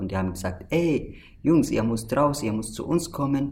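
A man with an Arabic accent speaks at a moderate pace in a somewhat breathy, dark, mellow tone. Room echo is audible. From Syria. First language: Arabic (speaking German). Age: 20s. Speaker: refugee association member. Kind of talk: casual interview.

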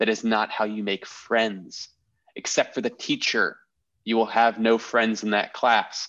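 The background is quiet as a man talks at a fairly slow pace. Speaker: podcast host. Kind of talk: casual comedy banter.

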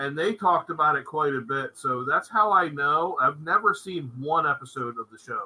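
A man speaks in an unremarkable speaking voice, fairly high in pitch with ordinary pitch variation. His pace is moderate, with hardly any pauses. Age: 40s. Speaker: podcast co-host. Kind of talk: casual chat.

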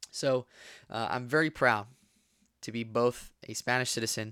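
A man's bright, sharp tone at a moderate pace, with fairly even intonation and a dry, close sound with no echo. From southern Spain (Rota, Cádiz). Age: young. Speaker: podcast host. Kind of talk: casual monologue. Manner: halting.

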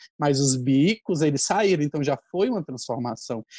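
This man has a fairly high pitch and a dark, mellow tone, speaking at a moderate pace. The sound is dry and close with no echo, over a quiet background. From Ceará, Brazil. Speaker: festival costume director and researcher. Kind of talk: casual chat.

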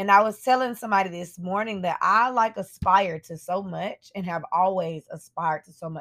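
A woman's unremarkable speaking voice at medium pitch, moderate pace and ordinary pitch variation, with hardly any pauses and big swings in loudness, on a very clean recording with a silent background. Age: 30s. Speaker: podcast host. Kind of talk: reflective solo monologue. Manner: casual, conversational with fillers.

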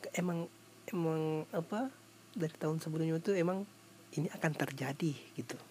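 This man's voice sits at a fairly high pitch with ordinary pitch variation. He talks at a fairly quick pace but takes long, frequent pauses. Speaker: podcaster. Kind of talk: casual solo storytelling. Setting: at home before sleep. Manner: halting, many fillers.

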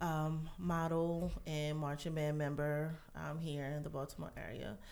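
Audible room echo follows a woman as she speaks fairly slowly. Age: 30s. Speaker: massage therapist. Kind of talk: casual chat.

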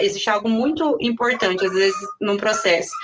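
The speaker is a woman. Her pitch is fairly high. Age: 30s. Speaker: sales consultant. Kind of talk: interview.

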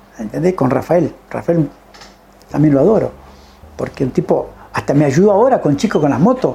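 Against noticeable background noise, the speaker keeps a moderate pace but leaves long, frequent pauses. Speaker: retired racing driver. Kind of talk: interview storytelling. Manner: animated.

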